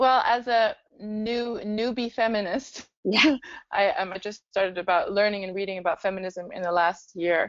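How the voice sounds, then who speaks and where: A woman with a German accent, medium pitch, ordinary pitch variation and a moderate pace. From Germany. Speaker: startup founder. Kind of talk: interview.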